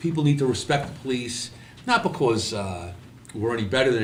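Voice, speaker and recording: Audible room echo surrounds a man with a New York accent speaking at a fairly quick pace with lively intonation. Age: 60s. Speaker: podcast host, retired police officer. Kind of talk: casual chat.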